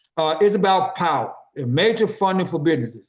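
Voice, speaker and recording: A man with a Memphis accent, a high pitch and ordinary pitch variation. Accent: Southern US (Memphis) English. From US South. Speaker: business network organizer. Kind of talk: business meeting presentation. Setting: conference call. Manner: fast.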